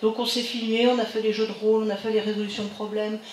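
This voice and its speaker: Fairly high female voice amid noticeable background noise and audible echo from the room. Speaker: psychiatrist and professor. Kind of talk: lecture.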